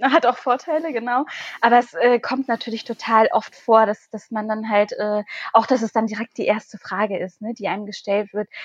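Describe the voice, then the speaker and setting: At a moderate pace, a woman with a fairly high pitch speaks with ordinary pitch variation, the sound dry and close with no echo. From northern Germany, Schaumburger Land. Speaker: politician. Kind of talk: casual interview. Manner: hesitant, many fillers.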